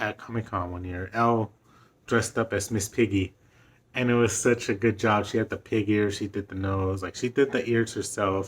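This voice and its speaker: Pitched fairly low, a man speaks in a flat monotone at a moderate pace. The recording is very clean with a silent background. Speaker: vlogger. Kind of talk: casual monologue. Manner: halting.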